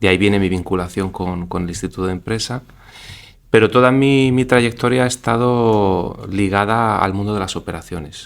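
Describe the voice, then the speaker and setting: A man with a fairly low pitch talks at a moderate pace, with ordinary pitch variation. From Spain, Granada. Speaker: business executive and leadership lecturer. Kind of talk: interview.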